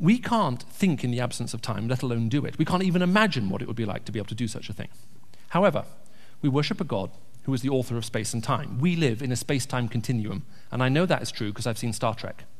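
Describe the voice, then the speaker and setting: A man talks very fast at a medium pitch, his voice somewhat breathy. Audible echo fills the room. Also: lively intonation. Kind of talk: church talk with Q&A. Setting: church.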